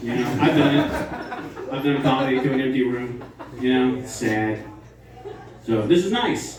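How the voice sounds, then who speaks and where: Over noticeable background noise and audible room echo, a man with an American accent talks at a moderate pace with fairly even intonation and long, frequent pauses. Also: medium pitch for a man. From West Virginia (Morgantown). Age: 40s. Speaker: stand-up comedian. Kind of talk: stand-up. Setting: stage with audience.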